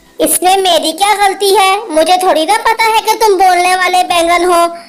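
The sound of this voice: A cartoonish character voice, female-sounding and pitched extremely high. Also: moderate pace.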